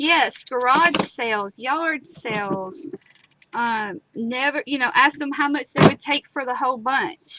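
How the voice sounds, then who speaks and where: Projecting a raised voice, a woman with an American accent speaks at a high pitch and a very slow pace. Her pitch varies in an ordinary way, and the sound is dry and close with no echo. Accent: country twang. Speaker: craft tutorial host. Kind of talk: live crafting tutorial. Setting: live stream. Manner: chatty, casual.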